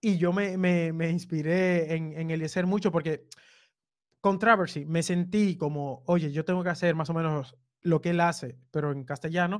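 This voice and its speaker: All is quiet in the background. The speech carries fairly even intonation. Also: man, high pitch for a man, moderate pace. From Dominican Republic (Cibao). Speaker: web developer and content creator. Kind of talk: casual chat.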